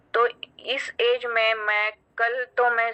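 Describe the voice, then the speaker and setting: The woman's voice has a fairly high pitch and a bright, sharp tone. Her intonation is monotone and flat. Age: 50s. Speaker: doctor giving product testimonial. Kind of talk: testimony. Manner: halting, frequent fillers.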